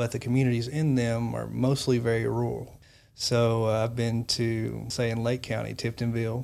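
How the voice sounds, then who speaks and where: A man with an American accent, medium pitch and a dark, mellow tone, flat monotone intonation at a moderate pace, on a very clean recording with a silent background. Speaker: mobile crisis responder. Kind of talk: interview. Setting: studio. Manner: soft-spoken.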